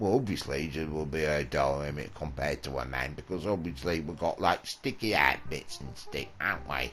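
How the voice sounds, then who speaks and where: Speaking at a fairly quick pace with hardly any pauses, a man with a very deep, low pitch shows ordinary pitch variation over noticeable background noise. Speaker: comedy show co-host. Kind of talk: casual comedic banter.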